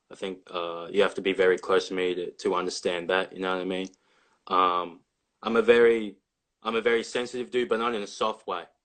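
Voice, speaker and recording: Fairly quick speech in an Australian accent carries fairly even intonation. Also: man, fairly low pitch for a man. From Australia, Victoria (near Melbourne). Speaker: college basketball player. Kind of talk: casual interview.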